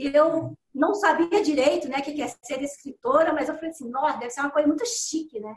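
Her pitch high, a woman speaks at a fairly quick pace with hardly any pauses, ordinary pitch variation and big swings in loudness. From Minas Gerais, Belo Horizonte. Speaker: writer. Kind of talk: interview.

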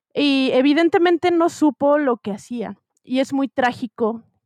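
Recorded with a dry, close sound and no echo, a woman speaks in a dark, mellow tone with lively intonation. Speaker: podcast co-host. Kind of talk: casual chat.

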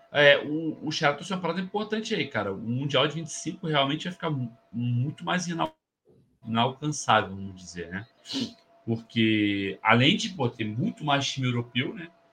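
A man's bright, sharp voice, fairly high in pitch, with very wide pitch swings. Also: moderate pace. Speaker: football podcast host. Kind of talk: casual chat. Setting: studio.

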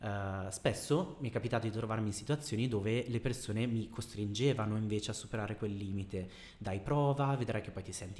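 The voice is somewhat breathy and moves at a fairly quick pace. Its pitch varies in an ordinary way. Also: man. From Bergamo, northern Italy. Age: 30s. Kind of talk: casual interview.

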